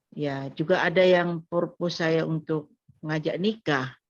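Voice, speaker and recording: Very slowly, a woman speaks at a very deep, low pitch with fairly even intonation. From Madura, Indonesia. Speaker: pastor and missionary. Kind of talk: testimony. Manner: halting.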